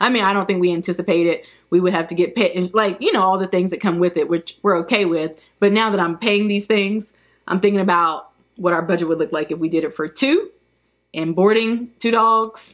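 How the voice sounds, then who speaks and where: Speaking in a normal speaking voice at a moderate pace, a woman uses medium pitch and ordinary pitch variation on a very clean recording with a silent background. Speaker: YouTuber. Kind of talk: casual chat.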